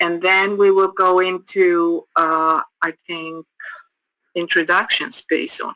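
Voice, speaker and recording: A woman with an Icelandic accent, a fairly low pitch, a bright, sharp tone, flat monotone intonation, a very slow pace, and a dry, close sound with no echo. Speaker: addiction counselor trainer. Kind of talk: training course lecture. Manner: halting, many repetitions.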